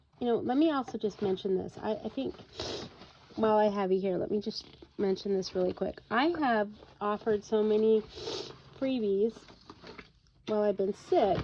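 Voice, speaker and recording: The speaker moves at a moderate pace with ordinary pitch variation, leaving long, frequent pauses. Noticeable background noise is present. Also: woman, fairly high pitch for a woman. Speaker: crafting youtuber. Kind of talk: tutorial. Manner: casual, chatty with many fillers.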